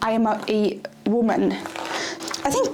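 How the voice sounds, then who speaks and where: A woman with a non-native accent speaks with ordinary pitch variation, amid noticeable background noise and audible room echo. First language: not English. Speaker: vlogger. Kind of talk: casual vlog monologue. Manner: rambling, filler-heavy.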